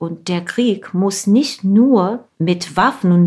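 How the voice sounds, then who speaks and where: With a Russian accent, a woman talks at medium pitch with ordinary pitch variation. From Ukraine, Zaporizhzhia. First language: Russian (speaking German). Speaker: novelist and translator. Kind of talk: interview.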